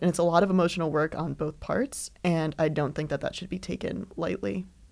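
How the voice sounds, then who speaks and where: Vocal fry runs through the voice. The pace is moderate. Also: woman. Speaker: host's roommate, podcast guest. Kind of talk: casual chat.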